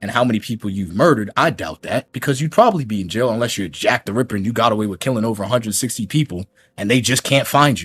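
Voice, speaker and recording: A man with an American accent speaks at a very fast pace and medium pitch, his intonation lively. The recording is very clean, with a silent background and a dry, close sound with no echo. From New York. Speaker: streamer reacting to another content creator. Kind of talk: heated rant on a livestream. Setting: livestream while recording. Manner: animated.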